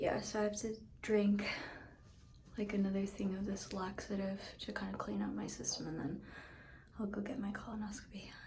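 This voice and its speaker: A quiet woman with a medium pitch speaks at a fairly quick pace in a monotone, flat way, leaving long, frequent pauses, with audible room echo and noticeable background noise. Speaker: singer-songwriter vlogger. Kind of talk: casual vlog. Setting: talking from bed; hospital bathroom. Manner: quiet, subdued.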